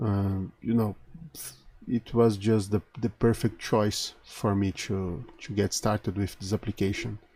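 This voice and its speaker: Speaking very slowly with a Portuguese accent, a man uses a fairly low pitch and a dark, mellow tone. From Brazil. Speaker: conference speaker. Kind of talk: recorded tech talk. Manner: halting, many fillers.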